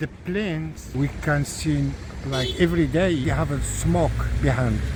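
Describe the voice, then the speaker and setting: Audible room echo and noticeable background noise surround a man speaking at a fairly slow pace. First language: not English. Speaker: passer-by interviewee. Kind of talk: street interview. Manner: halting.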